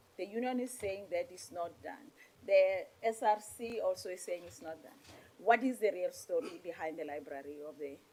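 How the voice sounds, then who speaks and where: A woman speaks at a moderate pace in a dark, mellow tone. Her intonation is lively, and her loudness swings a great deal. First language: Setswana or Sesotho. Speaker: parliamentary committee member. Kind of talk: committee hearing questioning.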